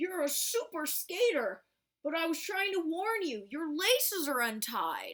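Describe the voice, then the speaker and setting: A put-on character voice at an extremely high pitch, with very wide pitch swings and a fairly slow pace. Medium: read story.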